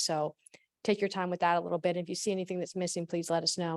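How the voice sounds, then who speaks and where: Against a quiet background, a woman's voice comes through with a dry, close sound and no echo. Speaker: town staff presenter. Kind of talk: public meeting presentation.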